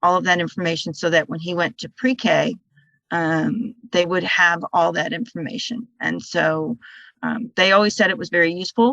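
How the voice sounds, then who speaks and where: A woman with a fairly low pitch, a bright, sharp tone and vocal fry speaks at a moderate pace in a dry, close sound with no echo. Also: ordinary pitch variation. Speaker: parent of a student with hearing loss. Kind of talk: panel discussion. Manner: soft-spoken.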